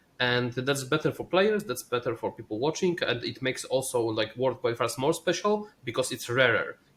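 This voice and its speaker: Lively intonation marks this man's medium-pitched voice with a non-native accent. He speaks at a fairly quick pace with hardly any pauses. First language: not English. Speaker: esports player and caster. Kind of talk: casual chat. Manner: halting.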